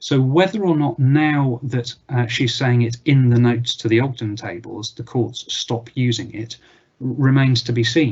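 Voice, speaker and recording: This man's voice has some breathiness. Its pitch falls in the middle range. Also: ordinary pitch variation, moderate pace. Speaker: barrister. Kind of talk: webinar Q&A. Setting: live webinar with screen share. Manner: hesitant, many fillers.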